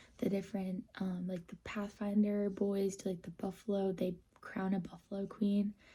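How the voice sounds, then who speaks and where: A woman with an American accent speaks at a moderate pace in a medium pitch, somewhat breathy with a dark, mellow tone. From Minnesota. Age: 20s. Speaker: vlogger. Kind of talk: story time vlog. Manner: casual, many fillers.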